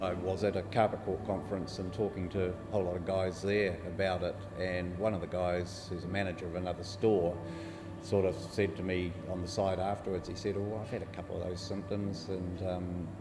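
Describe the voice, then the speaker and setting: Over music in the background, a man with a New Zealand accent speaks in a very deep, low pitch with monotone, flat intonation. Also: fairly quick pace. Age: 50s. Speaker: bowel cancer survivor. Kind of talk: interview answer. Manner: casual.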